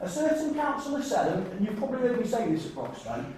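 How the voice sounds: Strong room echo surrounds a slightly mellow tone that moves at a fast pace with big pitch swings.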